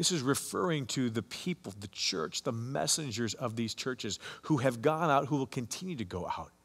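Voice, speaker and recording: A man speaks at a moderate pace and medium pitch, with hardly any pauses. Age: 50s. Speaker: pastor. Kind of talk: sermon. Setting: online church service recording. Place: church.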